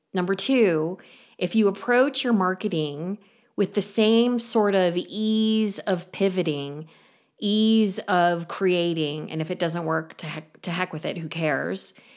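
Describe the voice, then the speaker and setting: A woman with a plain, everyday voice speaks at a fairly slow pace and medium pitch with ordinary pitch variation, in a very clean recording with a silent background. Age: 50s. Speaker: podcast host and artist coach. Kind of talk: solo talk / monologue.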